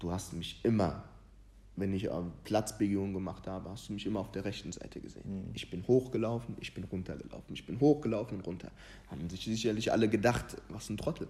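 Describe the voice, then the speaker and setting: Very fast and marked by vocal fry, this man's fairly low voice has ordinary pitch variation and big swings in loudness. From Ghana. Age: 20s. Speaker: youth footballer and motivational content creator. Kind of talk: casual chat.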